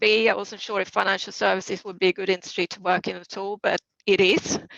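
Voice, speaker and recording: A woman with a Swedish accent speaks at a medium pitch and a fairly quick pace. Her intonation is monotone and flat, with vocal fry. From Sweden. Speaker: private banking head. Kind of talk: panel talk.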